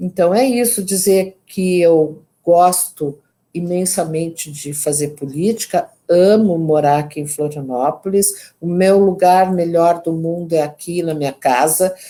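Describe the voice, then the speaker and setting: A fairly low-pitched woman's voice, dark and mellow in tone, with ordinary pitch variation at a fairly slow pace. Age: 70s. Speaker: politician and women's rights activist. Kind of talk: interview closing remarks. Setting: online live stream.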